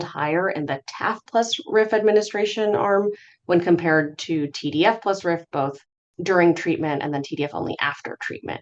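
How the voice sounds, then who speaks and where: A woman's fairly low voice moves at a fairly quick pace, its pitch varying in an ordinary way. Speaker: physician presenting HIV research update. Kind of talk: medical lecture. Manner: fast.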